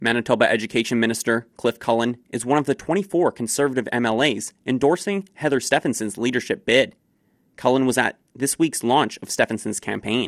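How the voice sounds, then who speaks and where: A man with an unremarkable speaking voice talks at a moderate pace and medium pitch with ordinary pitch variation, in a very clean recording with a silent background and a dry, close sound with no echo. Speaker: radio newsreader. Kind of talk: brisk local radio newsreading, crisp and scripted, even-toned delivery of headlines. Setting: studio. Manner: formal; brisk and steady.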